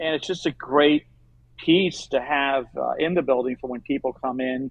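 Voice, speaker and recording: A man with an American accent has a plain, everyday voice, fairly high in pitch, speaking at a moderate pace with fairly even intonation. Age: 60s. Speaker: aquarium company owner. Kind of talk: interview.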